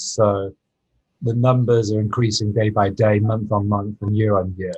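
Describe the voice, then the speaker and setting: A somewhat breathy man's voice with a British accent, fairly low in pitch, at a moderate pace. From UK. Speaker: inventor and former surgeon. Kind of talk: podcast interview.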